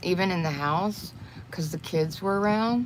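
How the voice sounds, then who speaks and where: Lively intonation marks this woman's fairly slow delivery. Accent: Texas. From Texas. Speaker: crochet and makeup livestreamer. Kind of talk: casual livestream chat. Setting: livestream while doing makeup.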